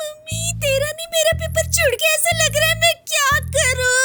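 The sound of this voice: A female-sounding put-on character voice, pitched extremely high, moves at a moderate pace over faint background music.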